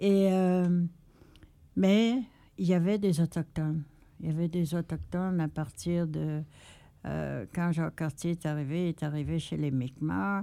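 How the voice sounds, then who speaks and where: A woman with a dark, mellow tone speaks at a fairly low pitch and a fairly slow pace. She leaves long, frequent pauses, and her pitch variation is ordinary. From Innu community, Quebec. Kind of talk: interview.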